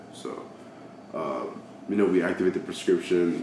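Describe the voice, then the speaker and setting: Amid audible room echo and noticeable background noise, a man with an American accent talks at a moderate pace in a very deep, low pitch with monotone, flat intonation. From Georgia, US (Dallas, near Atlanta). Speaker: military service member. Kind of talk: casual chat.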